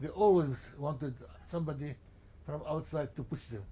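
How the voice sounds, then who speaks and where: With a Lebanese accent, a man speaks at a fairly high pitch in a dark, mellow, somewhat breathy tone, his pitch varying in an ordinary way. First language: Arabic. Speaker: journalist and publisher. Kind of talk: interview. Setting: at his home. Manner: halting, many repetitions.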